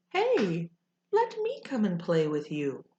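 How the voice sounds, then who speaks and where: This woman puts on a character voice and talks at a fairly slow pace. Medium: read story. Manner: evasive, whiny.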